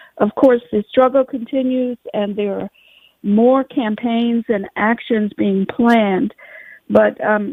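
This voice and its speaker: A woman's unremarkable speaking voice at a fairly slow pace. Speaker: radio host. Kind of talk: radio interview.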